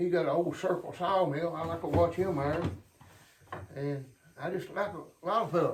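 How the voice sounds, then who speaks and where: A man with an American accent speaks at a high pitch with fairly even intonation, leaving long, frequent pauses. Audible room echo and noticeable background noise surround him. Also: moderate pace. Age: 70s. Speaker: hobby sawmiller and woodworker. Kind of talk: casual workshop tutorial. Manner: halting, repeats words.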